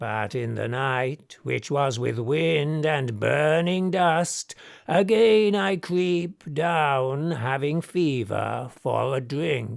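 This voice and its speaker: Using a put-on character voice, a man speaks at a very slow pace with hardly any pauses, his fairly high pitch carrying lively intonation. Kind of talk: poetic verse drama reading. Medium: audio drama. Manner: solemn, archaic.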